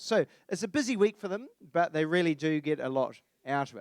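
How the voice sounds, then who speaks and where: Someone with a New Zealand accent talks at a moderate pace with lively intonation. The sound is dry and close with no echo, on a very clean recording with a silent background. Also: man. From New Zealand, Dunedin. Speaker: concert presenter. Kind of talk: event presenting to live audience. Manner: casual, many fillers.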